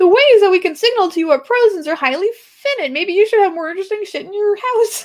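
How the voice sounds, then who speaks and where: An extremely high-pitched put-on character voice from a woman, very fast, with hardly any pauses. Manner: mocking.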